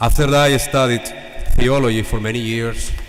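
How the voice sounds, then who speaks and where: Amid audible room echo and noticeable background noise, a man speaks at a moderate pace and medium pitch with fairly even intonation. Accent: Salvadoran. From El Salvador. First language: Spanish. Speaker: priest. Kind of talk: homily. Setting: church.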